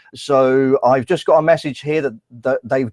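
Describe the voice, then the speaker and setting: Here a man talks with an English accent and ordinary pitch variation. The sound is dry and close, with no echo. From England. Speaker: YouTuber. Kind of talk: live stream commentary. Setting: live stream with screen share. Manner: halting.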